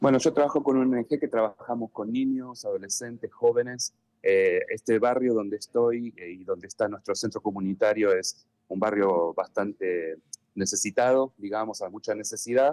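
Dark and mellow, this is a man's voice. The sound is dry and close, with no echo. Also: medium pitch for a man, ordinary pitch variation, moderate pace. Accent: Argentine. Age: 40s. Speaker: NGO volunteer. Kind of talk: live news interview.

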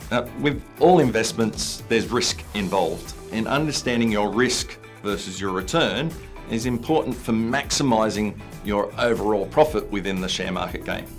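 Faint music plays in the background. A man speaks at a moderate pace. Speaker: presenter. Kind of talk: tutorial. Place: studio.

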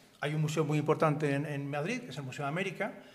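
The voice moves at a very fast pace. It sounds somewhat breathy. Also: man. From Spain, Seville; Spain. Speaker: art dealer; panelist. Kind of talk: lecture. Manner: halting. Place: hall. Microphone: podium.

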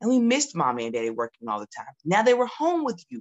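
Over a quiet background, a woman with a Southern US accent speaks in an animated tone. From US South, Georgia. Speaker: children's author. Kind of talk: promotional talk. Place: home room.

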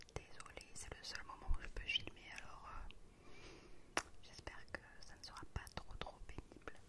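Whispering, a woman speaks in a soft-spoken way. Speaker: ASMR creator. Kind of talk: soft ASMR talk to viewers. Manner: soft close-mic whisper, apologetic. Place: home room. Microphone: studio mic.

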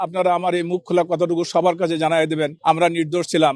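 The man speaks at a high pitch. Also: dry, close sound with no echo. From Bangladesh, Bogura. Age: 70s. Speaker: former border guard officer freed from prison. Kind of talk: press statement to reporters.

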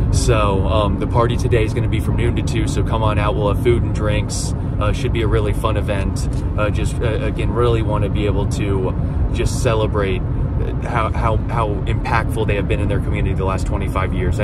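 The speaker moves at a fairly quick pace. The sound is dry with no echo, but loud background noise is present. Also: man. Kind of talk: casual vlog chat. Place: car. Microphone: phone near.

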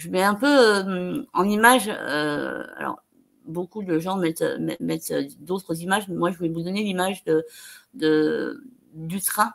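Her pace fairly slow, a woman speaks at a medium pitch with ordinary pitch variation. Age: 30s. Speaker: interview guest, speaker. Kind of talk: online video interview. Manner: halting, frequent repetitions and hesitations. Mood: warm, encouraging. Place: home room.

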